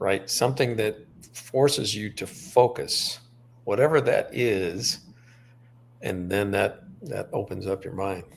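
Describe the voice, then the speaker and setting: A man speaks at a fairly slow pace, with long, frequent pauses. His voice is fairly low in pitch and somewhat breathy, with ordinary pitch variation. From Montana. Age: 60s. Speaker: author. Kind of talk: interview.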